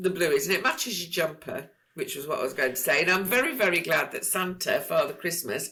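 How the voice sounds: The speaker uses a natural reading voice.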